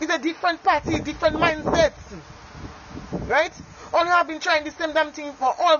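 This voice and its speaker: An animated tone at a fairly quick pace, over noticeable background noise. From Dominica. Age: young. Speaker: street vendor. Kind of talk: political rant.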